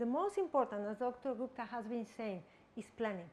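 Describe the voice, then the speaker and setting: Speaking at a moderate pace with a Spanish accent, a woman uses a high pitch and lively intonation. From Mexico. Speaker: guest lecturer. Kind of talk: lecture. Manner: halting, with frequent repetitions.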